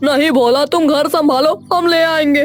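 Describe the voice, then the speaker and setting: This is a cartoonish character voice pitched high. It moves at a moderate pace with clear background noise behind it. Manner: exasperated.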